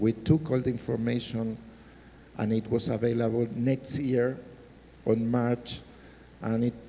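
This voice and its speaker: In a dark, mellow tone of medium pitch, a man speaks fairly slowly in a flat monotone, with long, frequent pauses. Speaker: government technology official. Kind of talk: panel discussion.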